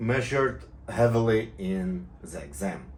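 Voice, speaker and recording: A voice with an Israeli accent, heard with audible room echo. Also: man. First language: Hebrew. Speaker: private pilot and tutorial maker. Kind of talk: casual video talk to viewers. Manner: halting, many fillers and restarts.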